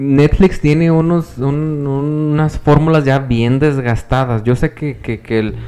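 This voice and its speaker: In an unremarkable speaking voice, a man talks at a fairly slow pace with a fairly high pitch and ordinary pitch variation. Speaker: podcast co-host and teacher. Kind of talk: casual chat.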